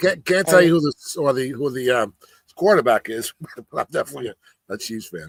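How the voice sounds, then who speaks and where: In a dry, close sound with no echo, a man with a New York accent speaks at a very fast pace and fairly high pitch, with lively intonation and long, frequent pauses. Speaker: reseller. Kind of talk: casual chat. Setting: live stream.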